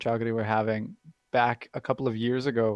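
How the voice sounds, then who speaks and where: A man with a plain, everyday voice speaks at medium pitch and a fairly quick pace, the sound dry and close with no echo. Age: 20s. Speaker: app company liaison, blind user. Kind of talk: interview.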